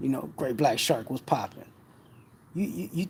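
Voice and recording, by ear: Lively intonation carries a man's voice, which has a husky, rough edge, vocal fry and a slightly mellow tone.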